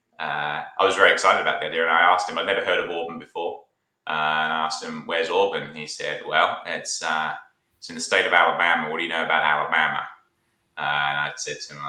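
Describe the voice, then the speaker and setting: The speech comes at a very fast pace with big swings in loudness. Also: man. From Australia, near Sydney (British family, born in UK). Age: 20s. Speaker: sales engineer. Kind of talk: casual interview chat.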